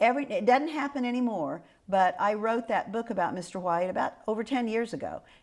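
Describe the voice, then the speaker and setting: Pitched fairly high, a woman with an American accent speaks at a fairly quick pace with lively intonation. The recording is very clean, with a silent background. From Kansas. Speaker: local historian. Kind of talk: oral history interview. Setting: historic house.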